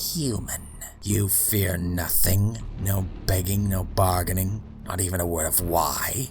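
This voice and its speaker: A put-on character voice speaks at a fairly slow pace. Loud background noise runs underneath. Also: man, very deep, low pitch for a man. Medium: read story. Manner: cold, contemptuous.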